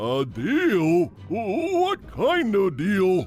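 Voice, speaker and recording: A man puts on a high-pitched character voice over clear background music. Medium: audio drama. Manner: dim, stammering.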